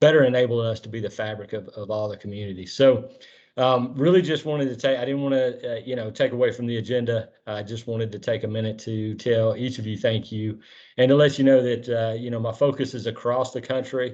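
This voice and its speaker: A man talks fairly quickly at a medium pitch, with fairly even intonation and a Southern US accent. His tone is dark and mellow. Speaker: disaster relief organization executive. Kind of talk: virtual all-hands meeting address. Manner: halting, many fillers.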